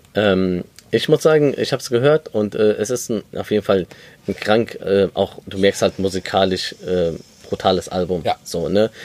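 In an ordinary speaking voice, a man talks at a moderate pace with a fairly low pitch and ordinary pitch variation, the sound dry and close with no echo. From Germany, Lebanese family. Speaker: podcast host. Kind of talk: casual chat. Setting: outdoors on a balcony.

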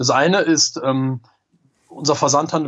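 A man talks at a moderate pace with a fairly high pitch. He has a plain, everyday voice. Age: 30s. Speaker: entrepreneur and online marketing expert. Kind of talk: interview.

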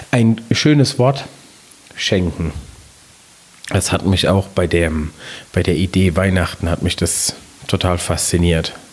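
With noticeable background noise behind him, a man with a very deep, low pitch speaks at a very slow pace with long, frequent pauses, ordinary pitch variation and very even loudness. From Palatinate, Germany. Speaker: podcast host, communication trainer. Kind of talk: partly scripted podcast talk.

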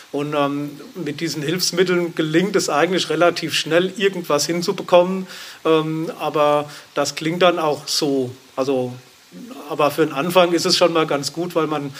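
A man with a fairly high pitch talks at a moderate pace over noticeable background noise. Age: 50s. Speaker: drummer and electronic musician. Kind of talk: interview. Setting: studio, masked and distanced. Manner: hesitant, many fillers.

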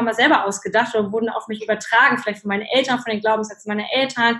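A woman speaks with fairly even intonation. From Germany, child of Polish parents. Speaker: life coach and speaker. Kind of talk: interview. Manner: many filler sounds.

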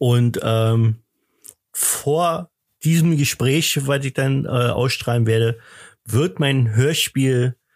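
Very slowly, a man talks at a medium pitch with ordinary pitch variation, recorded very cleanly against a silent background. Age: 50s. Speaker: podcast host and thriller author. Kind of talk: casual chat. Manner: halting.

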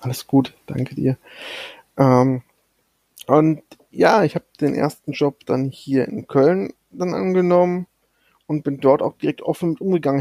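In a dry, close sound with no echo, a man talks at a moderate pace with a dark, mellow tone and fairly even intonation. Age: 30s. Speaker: podcast co-host, data entry clerk. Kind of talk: casual chat. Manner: soft-spoken.

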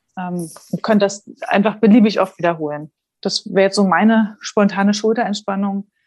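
At a moderate pace, a woman with a plain, everyday voice speaks at medium pitch with fairly even intonation, the sound dry and close with no echo. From Saxony-Anhalt, eastern Germany (Dessau). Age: 30s. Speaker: special education teacher. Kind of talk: casual interview.

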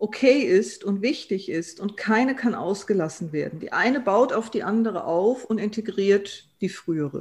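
Against a quiet background, a woman with a fairly high, somewhat breathy voice speaks at a fairly slow pace. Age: 50s. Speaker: transformation consultant and coach. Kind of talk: expert interview.

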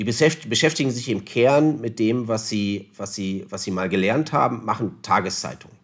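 A man speaks at a moderate pace with ordinary pitch variation on a very clean recording with a silent background. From northern Germany, Osnabrück area. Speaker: newspaper publishing executive. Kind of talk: interview. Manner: formal.

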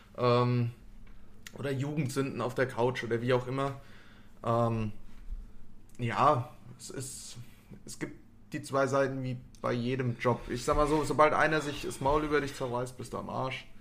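A man speaks at a fairly slow pace and medium pitch, with monotone, flat intonation and long, frequent pauses. His loudness swings widely, and the room echo is audible. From Hanau, Hesse, Germany. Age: 20s. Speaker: tattoo artist. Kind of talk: casual chat.

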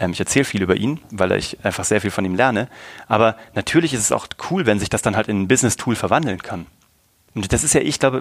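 A man's fairly low voice at a very fast pace, with lively intonation. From Germany, Kassel. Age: 30s. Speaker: entrepreneur and podcaster. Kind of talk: casual interview. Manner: animated.

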